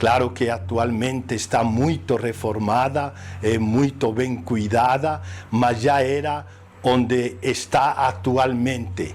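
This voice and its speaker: A man's medium-pitched voice with a Spanish accent, very slow pace, ordinary pitch variation and very even loudness. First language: Spanish (speaking Portuguese). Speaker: priest. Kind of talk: interview testimony. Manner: halting.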